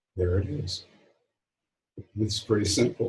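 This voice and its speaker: Somewhat breathy and fairly low in pitch, a man talks with ordinary pitch variation. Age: 70s. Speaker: spiritual author. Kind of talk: interview. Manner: halting, with frequent repetitions.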